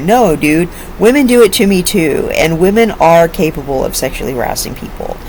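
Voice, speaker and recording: A woman with lively intonation, noticeable background noise and audible room echo. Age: 50s. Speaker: online commentator. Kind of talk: casual vlog monologue. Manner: animated.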